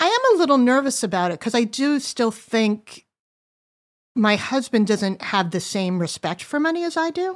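A woman speaks at a high pitch with very wide pitch swings, in a very clean recording over a silent background. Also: moderate pace. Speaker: adult daughter of a guest. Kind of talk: casual conversation.

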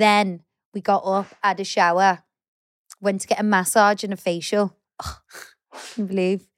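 A woman with an English accent speaks at a moderate pace and a medium pitch, in a playful tone. Her intonation stays monotone and flat, broken by long, frequent pauses. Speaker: podcast co-host. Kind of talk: casual chat. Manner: playful, laughs often.

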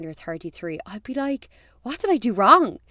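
In a very clean recording with a silent background, a woman speaks fairly quickly in a bright, sharp tone. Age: 30s. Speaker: podcast host. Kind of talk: casual chat. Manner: animated.

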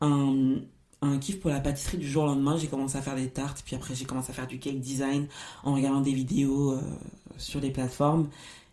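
A woman with a very deep, low pitch and a dark, mellow tone talks at a fairly quick pace with fairly level intonation, her words carrying an audible room echo. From Paris suburbs, France. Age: 20s. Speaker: podcast host. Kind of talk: solo podcast monologue.

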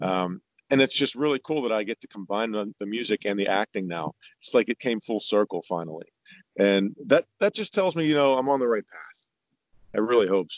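A plain, everyday voice from a man, fairly low in pitch, with lively intonation, a fairly quick pace and an American accent, in a dry, close sound with no echo. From Pittsburgh, Pennsylvania, US. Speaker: country singer. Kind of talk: interview conversation.

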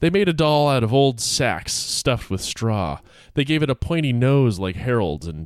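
The intonation is lively as someone reads aloud in a natural voice.

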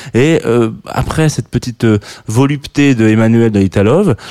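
In a dry, close recording with no echo, a man of medium pitch speaks fairly slowly, his tone dark and mellow and his pitch varying in an ordinary way. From southern France. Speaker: radio host. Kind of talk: radio show presenting. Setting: studio. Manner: halting, many fillers.

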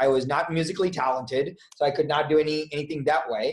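A man talks at a fairly quick pace in a fairly high, somewhat breathy voice. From India. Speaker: business executive. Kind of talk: interview.

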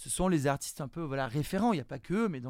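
Recorded very cleanly against total silence, a man with a dark, mellow tone talks at a moderate pace with ordinary pitch variation. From southern France (Nice, Marseille area). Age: 40s. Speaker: art school director and street art gallery founder. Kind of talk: interview. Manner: halting, with frequent repetitions.

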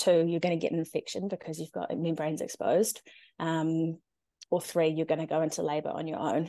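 Delivered at a fairly quick pace with fairly even intonation, the voice has a dark, mellow tone and a New Zealand accent. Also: woman, fairly low pitch for a woman. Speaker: NICU parent. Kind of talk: personal story interview. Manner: eloquent.

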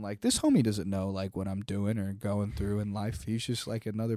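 On a very clean recording with a silent background, a man with an American accent speaks fast-ish in a fairly low, dark, mellow voice with monotone, flat intonation. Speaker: podcast co-host. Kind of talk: casual chat.

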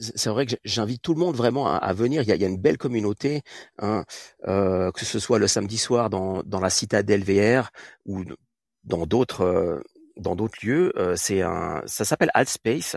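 An ordinary speaking voice with lively intonation moves at a moderate pace, recorded dry and close with no echo against a quiet background. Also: man, fairly low pitch for a man. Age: 40s. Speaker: artist. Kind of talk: interview. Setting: live audio room.

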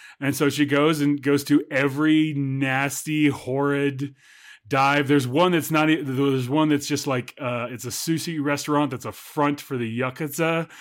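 The recording is very clean with a silent background. A man speaks at a moderate pace with a fairly high pitch and monotone, flat intonation. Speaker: podcast co-host. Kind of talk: casual chat.

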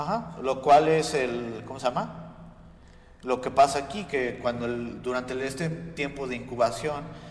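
Fairly slow speech with ordinary pitch variation amid noticeable background noise. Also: man, medium pitch for a man. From United States. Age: young. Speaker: podcast co-host. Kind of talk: casual chat.

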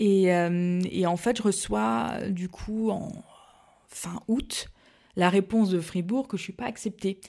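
Recorded very cleanly with a silent background, a woman speaks at a very slow pace. Her medium pitch shows ordinary variation. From Alsace, France (Mulhouse). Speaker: pastry entrepreneur, former neuroscientist. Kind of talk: casual interview chat. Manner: hesitant, many fillers and repetitions.

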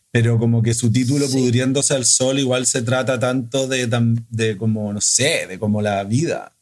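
A man's unremarkable speaking voice at medium pitch, moderate pace and fairly even intonation. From Chile. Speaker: film director. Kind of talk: casual conversation.

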